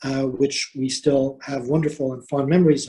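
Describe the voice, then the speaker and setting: A man with a Quebec accent speaks at a moderate pace. His voice has a dark, mellow tone and is somewhat breathy. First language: French. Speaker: diplomat. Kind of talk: formal welcome speech. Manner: hesitant, many fillers.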